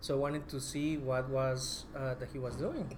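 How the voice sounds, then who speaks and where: A man with a Spanish accent talks at a moderate pace in a fairly high pitch. His intonation is monotone and flat, and the room echo is audible. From Colombia, Bogota. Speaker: documentary filmmaker. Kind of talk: media roundtable talk.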